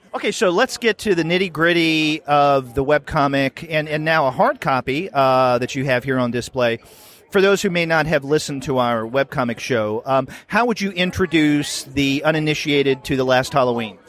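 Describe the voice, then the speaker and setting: With ordinary pitch variation, this man's fairly high voice moves along at a moderate pace. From US South. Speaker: podcast host. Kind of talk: interview. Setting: convention floor.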